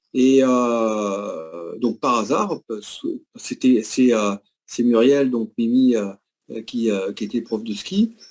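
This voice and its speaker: Ordinary pitch variation from a man at medium pitch. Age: 60s. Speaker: former tennis player, product testimonial. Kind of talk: testimony. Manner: halting, many hesitations.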